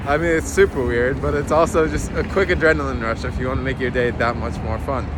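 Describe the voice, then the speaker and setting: A man's medium-pitched voice at a fairly quick pace, with very wide pitch swings, audible room echo and noticeable background noise. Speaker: vlogger. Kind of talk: vlog narration. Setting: outdoors walking in city; gym treadmill. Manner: fast; animated.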